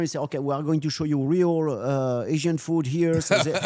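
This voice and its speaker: A man with a fairly high pitch and a strong French accent. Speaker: loss prevention specialist. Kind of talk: interview storytelling. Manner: halting, with many fillers; animated.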